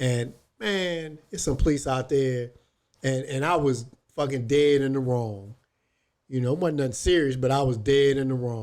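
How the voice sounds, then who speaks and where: With a plain, everyday voice, a man speaks at a moderate pace and medium pitch with ordinary pitch variation. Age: 60s. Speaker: podcast co-host. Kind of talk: casual chat.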